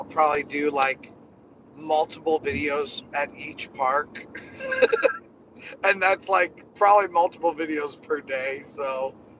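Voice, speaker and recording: Against noticeable background noise, a man speaks at a fairly slow pace with fairly even intonation, the sound dry with no echo. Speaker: vlogger hosting a livestream. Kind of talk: casual vlog chat. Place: car. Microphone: phone near.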